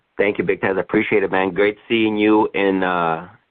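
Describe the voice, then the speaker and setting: This man uses a normal speaking voice at a fairly low pitch and a moderate pace. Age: 20s. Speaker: insurance sales agent. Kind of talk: conference call Q&A. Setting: conference call.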